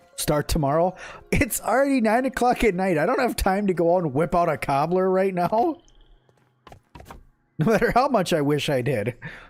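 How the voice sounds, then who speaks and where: With an American accent, the voice moves at a moderate pace with long, frequent pauses, very wide pitch swings and very even loudness. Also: man, high pitch for a man. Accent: northern. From Minnesota. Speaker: gaming streamer. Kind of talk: casual chat. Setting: live stream. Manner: halting.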